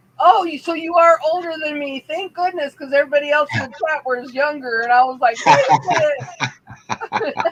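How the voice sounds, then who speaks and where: A woman speaks at a moderate pace with a Pittsburgh accent and hardly any pauses. Her high voice has lively intonation and big swings in loudness. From Pittsburgh, US. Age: 50s. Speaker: livestream talk show host. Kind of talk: casual chat.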